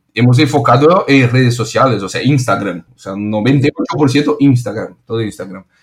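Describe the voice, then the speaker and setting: The man's voice is somewhat breathy, with ordinary pitch variation. He speaks at a fairly slow pace. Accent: Brazilian. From Brazil, São Paulo. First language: Portuguese (speaking Spanish). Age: 30s. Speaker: restaurant founder. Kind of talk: interview. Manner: halting, repeats words.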